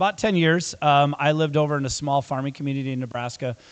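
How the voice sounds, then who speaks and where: With a US Midwestern accent, a man talks at a medium pitch and a fairly quick pace, his pitch varying in an ordinary way. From western Iowa, US Midwest. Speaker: school superintendent. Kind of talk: community meeting talk. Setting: public meeting with audience. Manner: casual, frequent fillers.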